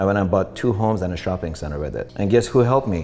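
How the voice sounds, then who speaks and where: A man's fairly low-pitched voice over music in the background. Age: 40s. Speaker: real estate investor and entrepreneur. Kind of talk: interview.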